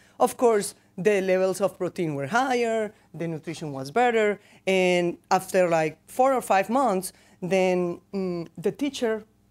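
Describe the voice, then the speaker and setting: Speaking with a non-native accent, a woman uses lively intonation at a medium pitch and a fairly slow pace. The recording is very clean, with a silent background. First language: not English. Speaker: company research director. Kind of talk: conference presentation. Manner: halting, many restarts.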